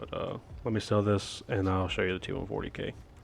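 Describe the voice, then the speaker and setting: Fairly low pitch from a man at a moderate pace, with music in the background. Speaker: gaming youtuber. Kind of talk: tutorial. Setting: game voiceover recording. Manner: hesitant, many fillers; casual.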